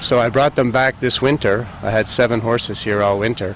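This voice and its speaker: With noticeable background noise behind him, a man talks at a moderate pace in a medium pitch that shows ordinary variation. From Montreal, Quebec. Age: 60s. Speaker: business owner, golf course and horse farm owner. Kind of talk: interview. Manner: hesitant, many filler words.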